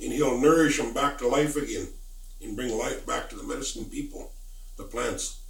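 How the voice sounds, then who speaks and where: A man talks at a moderate pace with an American accent. Noticeable background noise runs beneath him. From Lummi Nation, Washington State. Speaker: Lummi spiritual elder and storyteller. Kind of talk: traditional oral storytelling.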